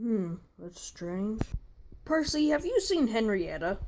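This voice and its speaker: A female-sounding voice is put on as a character voice. It sits at a fairly high pitch and moves at a fairly slow pace. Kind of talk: fan parody dub. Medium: fan dub. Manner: hesitant.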